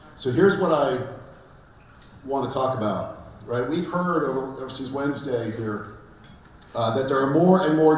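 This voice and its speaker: The room has audible echo and noticeable background noise. A man speaks at a moderate pace, medium in pitch, with ordinary pitch variation. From Pittsburgh, Pennsylvania, US. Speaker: law professor. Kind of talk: conference lecture. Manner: halting, many fillers.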